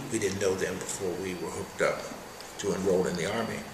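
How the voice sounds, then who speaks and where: Noticeable background noise sits behind a man with an American accent speaking at a moderate pace. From Wheeling, West Virginia. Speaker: retired union leader and Army veteran. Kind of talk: oral history interview answer.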